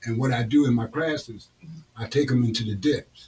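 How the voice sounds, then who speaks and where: A man talks at a medium pitch with a dark, mellow tone. His voice is somewhat breathy. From New York City (Harlem). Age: 70s. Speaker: author and recovery teacher. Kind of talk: interview. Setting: studio. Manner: animated.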